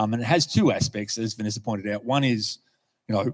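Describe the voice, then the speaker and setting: This man has an Australian accent and a medium pitch. His intonation stays fairly even. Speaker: lay preacher. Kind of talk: sermon. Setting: church. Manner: halting.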